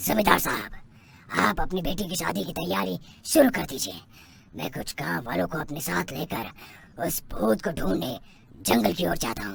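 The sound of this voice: A man's cartoonish character voice with very wide pitch swings and long, frequent pauses. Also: medium pitch for a man, moderate pace.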